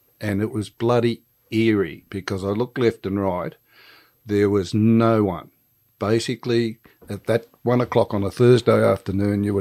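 A man with an Australian accent, fairly low in pitch, at a moderate pace and with fairly even intonation, in a dry, close sound with no echo. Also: very clean recording, silent background. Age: 70s. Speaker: retired police officer. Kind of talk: interview.

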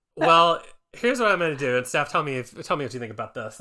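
This man's voice has a bright, sharp tone. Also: very clean recording, silent background. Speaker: podcast co-host. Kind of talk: casual comedy chat.

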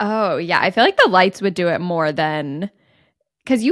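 A woman speaks in a plain, everyday voice with a General American accent, medium in pitch, at a moderate pace with lively intonation. The sound is dry and close with no echo, and the recording is very clean over a silent background. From US Midwest. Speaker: podcast host. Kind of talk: casual chat.

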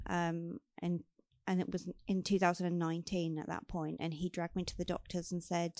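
The woman's fairly low voice has a slightly mellow tone and moves at a moderate pace.

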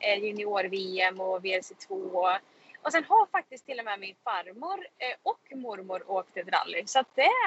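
An unremarkable speaking voice, this woman's is medium in pitch with ordinary variation, fairly slow, and marked by big swings in loudness. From Sweden, Karlstad (Värmland). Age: 20s. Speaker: racing driver. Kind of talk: casual interview. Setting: in a car.

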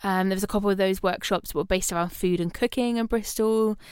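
A woman's voice with ordinary pitch variation. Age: 20s. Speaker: podcast host, university lecturer, singer. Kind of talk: casual chat. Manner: loud.

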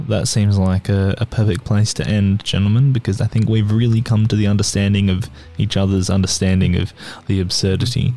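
Speaking fairly quickly with an Australian accent, a man has a fairly low pitch, a dark, mellow tone, very even loudness and fairly even intonation. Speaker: podcast co-host. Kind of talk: casual chat.

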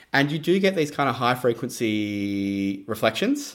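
With an Australian accent, a man talks at a moderate pace on a very clean recording with a silent background. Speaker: percussionist and artistic director. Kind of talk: interview.

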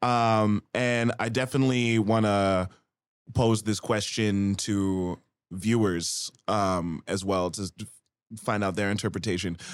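A plain, everyday voice at a fairly slow pace, with fairly even intonation, on a very clean recording with a silent background. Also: man, fairly low pitch for a man. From Canada. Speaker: rapper. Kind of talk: casual chat.

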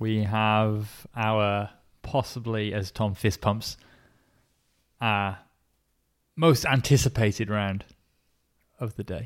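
A man at a very slow pace with fairly even intonation and long, frequent pauses, on a very clean recording with a silent background. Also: fairly low pitch for a man. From Birmingham. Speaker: beer podcast co-host. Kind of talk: casual chat.

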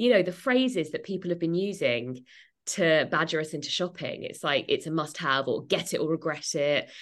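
Speaking with an English accent, a woman uses a fairly low pitch and lively intonation at a moderate pace against a quiet background. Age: 30s. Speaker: author and journalist. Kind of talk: interview.

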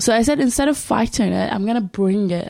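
With an Arabic accent, a woman talks at a fairly quick pace in a dark, mellow tone with ordinary pitch variation. The recording is very clean, with a silent background. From Syria. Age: 20s. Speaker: refugee and humanitarian volunteer. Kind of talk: interview testimony.

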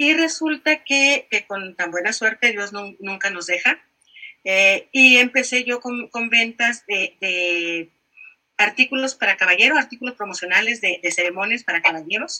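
With a plain, everyday voice and a fairly high pitch, a woman speaks with big swings in loudness. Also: lively intonation. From Mexico, Monterrey. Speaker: digital marketing consultant and entrepreneur. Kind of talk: casual interview.

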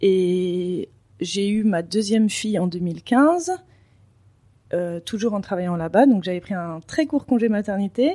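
A woman's dark, mellow tone at a very slow pace, with ordinary pitch variation and long, frequent pauses. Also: medium pitch for a woman, very clean recording, silent background. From Paris, France. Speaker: entrepreneur, children's clothing business owner. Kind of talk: interview. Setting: at her home.

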